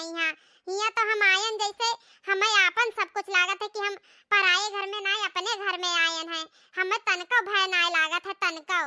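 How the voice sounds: A woman uses a cartoonish character voice at an extremely high pitch. She talks at a moderate pace with fairly even intonation.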